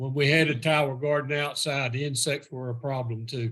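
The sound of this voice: Delivered at a fairly quick pace, the speech has little pitch movement. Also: man, medium pitch for a man, fairly bright tone.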